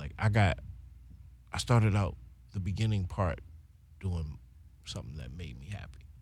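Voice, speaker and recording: Vocal fry in a man's very deep, low voice, moving at a moderate pace. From Baltimore, West Side. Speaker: singer. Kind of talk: casual chat. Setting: studio. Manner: animated.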